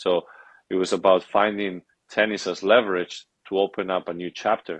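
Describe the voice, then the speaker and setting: In a Spanish accent, a man talks with a very deep, low pitch against a quiet background. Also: dry, close sound with no echo. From Spain, Madrid. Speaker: athlete and author. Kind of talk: podcast interview.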